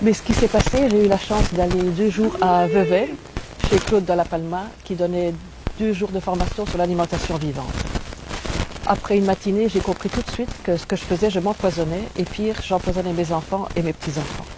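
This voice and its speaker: There is noticeable background noise behind this woman. She speaks at a moderate pace and medium pitch with fairly even intonation. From Belgium. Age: 60s. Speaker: raw food diet testimonial speaker. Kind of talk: testimony.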